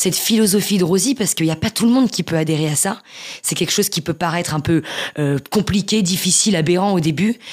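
A woman talks very fast with ordinary pitch variation, and there is noticeable background noise behind her. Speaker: author with multiple sclerosis. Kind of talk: interview testimony.

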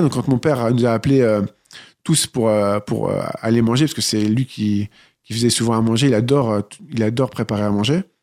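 A man of medium pitch speaks at a fairly quick pace with ordinary pitch variation. The recording is very clean, with a silent background. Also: long, frequent pauses. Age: 30s. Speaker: nursing assistant and author. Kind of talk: interview testimony.

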